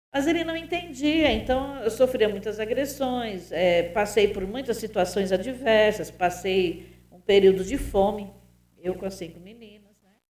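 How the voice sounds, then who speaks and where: Lively intonation at a fairly slow pace, with big swings in loudness and audible room echo. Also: woman, fairly high pitch for a woman. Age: 60s. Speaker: pastor. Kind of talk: testimony.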